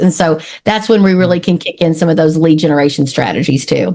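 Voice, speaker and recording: A woman with an East Texas accent speaks in an energetic tone with ordinary pitch variation. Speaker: marketing consultant. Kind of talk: podcast interview.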